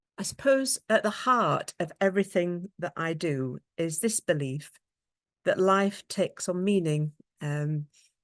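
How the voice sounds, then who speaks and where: In a British accent, a woman speaks with lively intonation over a quiet background, the sound dry and close with no echo. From England. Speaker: occupational therapist and researcher. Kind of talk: conference presentation. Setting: online video conference. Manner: halting, many fillers.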